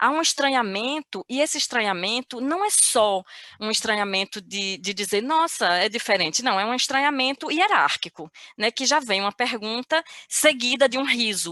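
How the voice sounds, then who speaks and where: A woman with a fairly high pitch and very wide pitch swings talks at a moderate pace, the sound dry and close with no echo. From Bahia sertão, Serrolândia. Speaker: researcher and popular theatre actress. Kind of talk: interview conversation.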